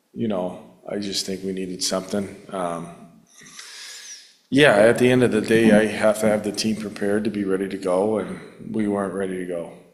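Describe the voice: In a room with audible echo, a man with a fairly low pitch speaks at a moderate pace with fairly even intonation.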